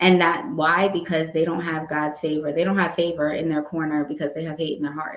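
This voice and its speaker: Hardly pausing, a woman with a New York accent talks at a fairly quick pace in a very deep, low pitch. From US Northeast, Long Island, New York. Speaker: notary and wedding officiant. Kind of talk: casual interview chat. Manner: animated.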